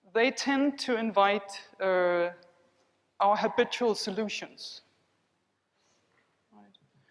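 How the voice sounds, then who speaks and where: Her pitch is fairly high, and she has a non-native accent. The woman talks at a very slow pace with ordinary pitch variation. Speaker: body psychotherapist. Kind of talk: conference keynote with guided exercise. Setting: conference hall with audience. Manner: calm, measured.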